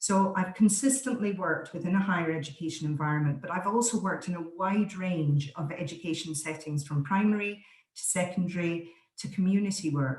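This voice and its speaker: Somewhat breathy, a medium-pitched woman speaks with an Aberdeen accent. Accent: Scottish (Aberdeen). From Scotland, Aberdeen. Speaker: voice coach. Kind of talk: online presentation. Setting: video call.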